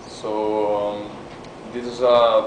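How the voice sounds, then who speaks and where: A man with a Brazilian Portuguese accent amid noticeable background noise and audible room echo. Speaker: artist. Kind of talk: lecture. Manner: halting.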